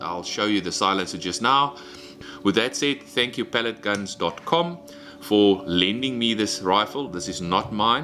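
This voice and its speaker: Over music in the background, a man with fairly low pitch talks at a moderate pace with lively intonation. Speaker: airgun reviewer. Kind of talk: product review. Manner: animated.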